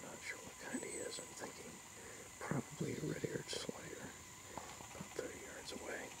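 Loud background noise sits behind a man talking at a fairly quick pace. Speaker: university herping club member, amateur herper. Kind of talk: casual nature narration to camera. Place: waterside. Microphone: phone near.

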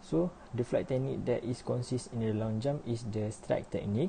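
Over light background noise, a man talks in a dark, mellow, somewhat breathy tone with ordinary pitch variation. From Malaysia. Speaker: university student; presenter. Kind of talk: class presentation; lecture. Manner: halting. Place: home room. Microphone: webcam.

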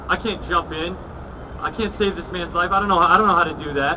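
Against noticeable background noise, a man speaks at a very fast pace with fairly even intonation. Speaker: public speaker. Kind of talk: speech. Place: street. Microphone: podium.

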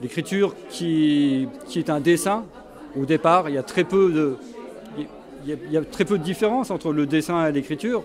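Against crowd noise in the background, a man with a fairly high pitch and ordinary pitch variation speaks at a moderate pace with long, frequent pauses. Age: 60s. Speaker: painter; interviewee. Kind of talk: interview. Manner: halting. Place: hall. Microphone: handheld.

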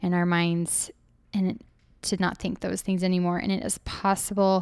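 A woman speaks in a monotone, flat way. The recording is very clean, with a silent background. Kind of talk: podcast monologue.

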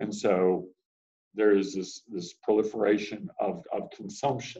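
Over a quiet background, a man speaks in a dark, mellow tone. His pitch shows ordinary variation. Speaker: teacher. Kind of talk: classroom lecture to students. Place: classroom. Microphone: webcam.

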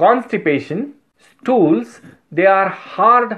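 A man speaks at a very slow pace. The background is quiet. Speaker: homeopathy teacher. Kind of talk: lecture. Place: office. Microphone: phone near.

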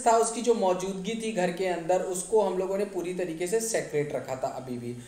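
This man has a high voice with ordinary pitch variation. He talks at a moderate pace. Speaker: English teacher. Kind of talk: classroom lesson explanation.

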